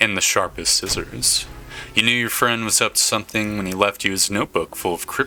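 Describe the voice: Plain reading aloud, the intonation fairly even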